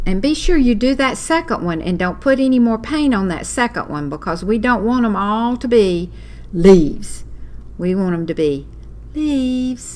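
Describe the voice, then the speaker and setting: A woman speaks with a Southern accent. Her pitch swings very widely. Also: medium pitch for a woman, moderate pace. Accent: Southern, says y'all. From US South (Walker County). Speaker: craft teacher. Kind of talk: live online class tutorial. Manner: chatty, animated.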